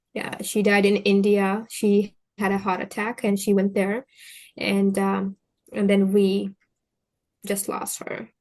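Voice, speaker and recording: A woman speaks with a Pashto accent in a monotone, flat intonation. Her pace is very slow, with long, frequent pauses. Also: medium pitch for a woman. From Afghanistan, Kandahar. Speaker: interviewee sharing life story. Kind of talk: interview. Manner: halting.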